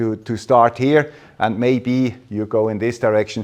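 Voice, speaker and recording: A man speaks at a moderate pace. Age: 60s. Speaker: radio amateur and tech presenter. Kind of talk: conference talk. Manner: halting.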